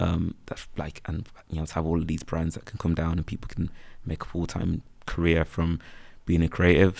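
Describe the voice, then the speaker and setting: In a very clean recording with a silent background, a man with a very deep, low pitch speaks with a Birmingham accent and monotone, flat intonation. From Birmingham, England. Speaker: freelance photographer and videographer. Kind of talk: casual interview chat. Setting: podcast recorded on campus.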